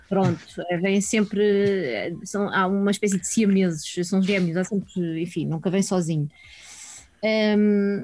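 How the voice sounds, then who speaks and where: At a fairly slow pace, a woman speaks in a plain, everyday voice, medium in pitch, with fairly even intonation. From Portugal, Sintra area (Lisbon region). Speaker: philosophy teacher. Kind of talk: casual chat. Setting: video call.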